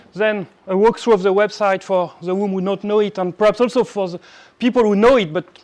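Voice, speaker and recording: A man speaks with a French accent and a high pitch. His intonation stays fairly even. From France. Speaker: cybersecurity executive and conference speaker. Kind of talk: conference talk. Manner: halting.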